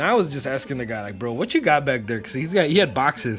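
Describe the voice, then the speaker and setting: This man talks at a fairly high pitch. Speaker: vinyl record collector. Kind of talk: casual vlog review. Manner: fast.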